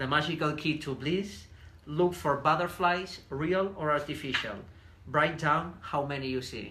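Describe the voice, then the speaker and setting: The speaker has a Spanish accent and a bright, sharp tone, with fairly even intonation at a fairly slow pace. There is audible room echo. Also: man, fairly high pitch for a man. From southern Spain. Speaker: businessman, podcast guest. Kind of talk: reading aloud. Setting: Facebook live videocast.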